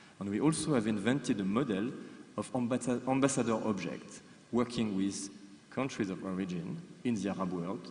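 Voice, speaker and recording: A man speaks with a French accent at a fairly low pitch. Room echo is audible. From France. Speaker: museum professional. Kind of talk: conference presentation. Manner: hesitant, many fillers and repetitions.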